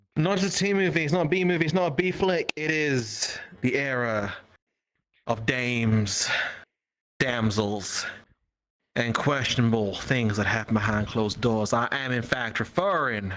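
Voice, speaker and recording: A put-on character voice at a low-to-middle pitch, moderate in pace, with long, frequent pauses. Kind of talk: dramatic, film-noir narration. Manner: exaggerated, melodramatic.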